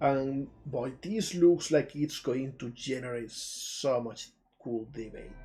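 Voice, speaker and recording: A man with a Spanish accent speaks very slowly at a medium pitch in a dark, mellow, somewhat breathy tone. His pitch varies in an ordinary way while his loudness swings widely. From southern Spain, Jaén, Andalusia. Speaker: indie game developer and streamer. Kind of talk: live stream commentary. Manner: animated.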